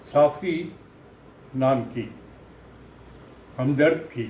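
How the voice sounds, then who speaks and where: A man with a fairly high pitch speaks in a dark, mellow, somewhat breathy tone. His pitch moves in an ordinary way, and room echo is audible. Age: 80s+. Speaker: patient sharing recovery experience. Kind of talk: testimony. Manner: halting.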